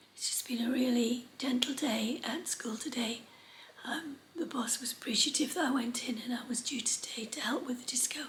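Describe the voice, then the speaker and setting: Noticeable background noise sits under speech at a moderate pace with fairly even intonation. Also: woman, high pitch for a woman. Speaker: sewing vlogger. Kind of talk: casual talk to camera.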